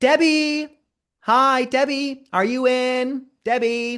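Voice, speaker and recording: Using a put-on character voice, a man talks at an extremely high pitch and a very slow pace with fairly even intonation. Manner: pleading, repetitive calling.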